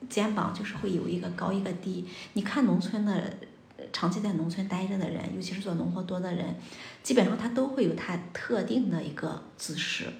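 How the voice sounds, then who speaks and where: A woman at medium pitch and moderate pace, ordinary pitch variation, noticeable background noise behind her. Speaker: psychological counselor. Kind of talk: casual chat.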